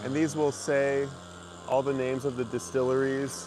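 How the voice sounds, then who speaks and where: A man of medium pitch speaks at a moderate pace with noticeable background noise. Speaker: livestreamer, vinyl record channel host. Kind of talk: casual walking livestream. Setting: outdoors, walking through a shrine. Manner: casual, halting with restarts.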